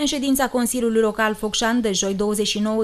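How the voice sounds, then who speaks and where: This woman has a fairly high pitch, keeping fairly even intonation at a moderate pace. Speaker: news reporter. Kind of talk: news reading.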